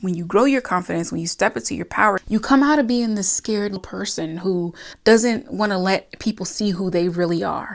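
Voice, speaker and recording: Medium-pitched woman with a plain, everyday voice, ordinary pitch variation and a moderate pace on a very clean recording with a silent background. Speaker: self-improvement and crystal content creator. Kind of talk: casual talk to camera. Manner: friendly, conversational, motivational pep talk.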